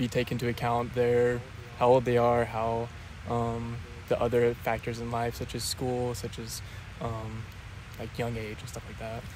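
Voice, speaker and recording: A man with monotone, flat intonation and long, frequent pauses, over noticeable background noise. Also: moderate pace, dry sound with no echo. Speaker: interviewee. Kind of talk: interview answer. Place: open country. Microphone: handheld.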